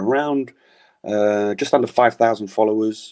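Spoken fairly slowly with fairly even intonation in a London accent, the voice comes over a quiet background. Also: man. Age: 40s. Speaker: author and cycling jersey collector. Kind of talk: interview.

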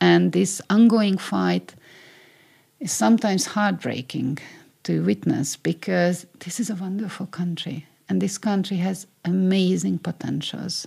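At a fairly slow pace, a woman with a Hungarian accent is heard on a very clean recording with a silent background. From Hungary. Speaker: media scholar and former regulator. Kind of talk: interview. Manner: halting.

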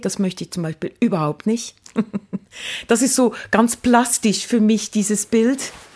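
A woman talks with a slight Swiss accent. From Switzerland, Lucerne. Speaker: university rector. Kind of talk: casual interview. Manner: fast.

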